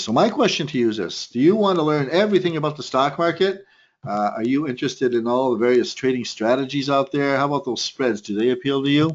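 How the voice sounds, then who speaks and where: Lively in intonation, a man talks at a very fast pace. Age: 60s. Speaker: trading instructor. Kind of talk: webinar presentation. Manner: animated.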